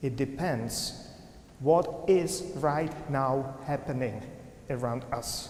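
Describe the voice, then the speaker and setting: Over noticeable background noise, a man speaks at a very slow pace. His fairly high pitch shows ordinary variation. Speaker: Presbyterian minister, preacher. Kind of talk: sermon delivered to a congregation.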